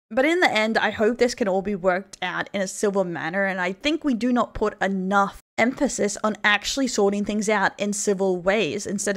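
A woman with an Australian accent at a moderate pace, with ordinary pitch variation, hardly any pauses and a quiet background. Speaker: vtuber news commentator. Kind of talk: online commentary video. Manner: occasionally stuttering. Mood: serious, measured.

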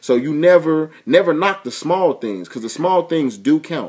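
Against a quiet background, a man speaks fairly quickly with lively intonation. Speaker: vlogger giving relationship advice. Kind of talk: casual vlog chat. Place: home room. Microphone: webcam.

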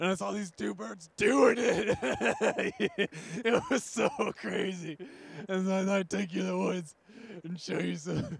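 Using a raspy, high-pitched put-on character voice, a man speaks at a moderate pace with long, frequent pauses. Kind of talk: comedic mock news report. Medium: comedy sketch. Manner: rambling, filler-heavy. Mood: cheerful, rambling.

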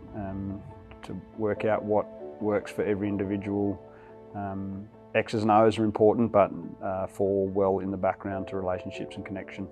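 At a moderate pace, a man speaks in a fairly low pitch with monotone, flat intonation while clear music plays in the background. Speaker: head coach. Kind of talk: interview answer. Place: home room. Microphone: lapel.

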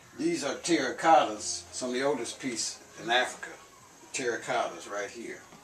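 Over music and audible room echo, a man talks at a fairly quick pace with ordinary pitch variation. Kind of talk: casual guided tour commentary. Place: home room. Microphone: camera far.

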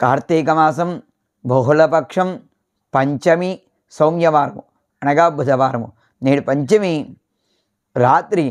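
This is a normal speaking voice with ordinary pitch variation and very even loudness. The background is quiet. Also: man, fairly high pitch for a man. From Vizianagaram, Andhra Pradesh, India. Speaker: astrologer priest. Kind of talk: almanac reading and religious advice.

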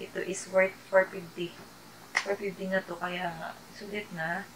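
A quiet woman at medium pitch, with noticeable background noise behind her. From Philippines. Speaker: YouTuber; vlogger. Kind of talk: product haul vlog. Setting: at home at night. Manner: quiet, keeping voice down. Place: home room. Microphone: phone near.

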